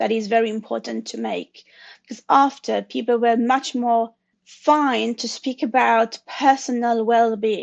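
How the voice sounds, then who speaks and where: Speaking at a fairly slow pace, a woman with a French accent uses monotone, flat intonation. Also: quiet background. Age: 40s. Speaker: consultant sharing her story. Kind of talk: interview conversation. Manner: halting.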